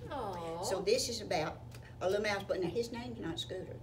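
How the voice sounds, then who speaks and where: A woman speaks at a very fast pace and fairly low pitch. Noticeable background noise is present. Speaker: storyteller. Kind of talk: children's story reading. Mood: warm, playful. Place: hall. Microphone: camera far.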